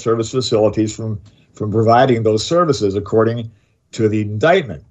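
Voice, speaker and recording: A man with an American accent talks at a medium pitch. His voice is somewhat breathy. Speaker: radio host. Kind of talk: talk radio discussion. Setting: studio.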